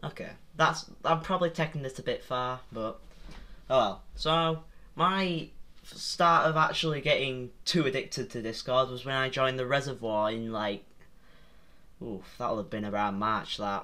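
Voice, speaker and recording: A man with a British accent speaks at a moderate pace in a medium pitch. His tone is bright and sharp, with lively intonation. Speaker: YouTuber. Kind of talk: casual vlog commentary. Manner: halting.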